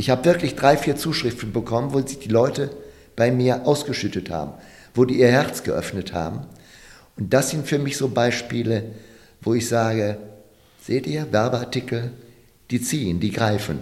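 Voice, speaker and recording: A man of medium pitch speaks with ordinary pitch variation. He pauses long and often. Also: moderate pace. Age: 50s. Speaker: promotional products company director. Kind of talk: interview.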